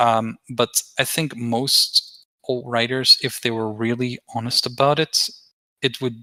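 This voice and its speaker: In a dry, close recording with no echo, a man talks in a bright, sharp tone with monotone, flat intonation. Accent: non-native. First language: not English. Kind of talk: heated debate. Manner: halting, many repetitions.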